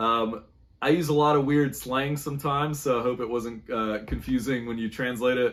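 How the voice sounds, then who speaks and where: In a very clean recording with a silent background, a man with a Southern US accent speaks at medium pitch with fairly even intonation. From North Carolina, US South. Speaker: musician. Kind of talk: recorded video answers for a podcast interview. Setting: at home. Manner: fast; casual, loose enunciation.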